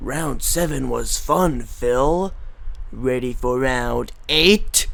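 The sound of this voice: A man's sinister, menacing put-on character voice, very slow, over noticeable background noise. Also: medium pitch for a man.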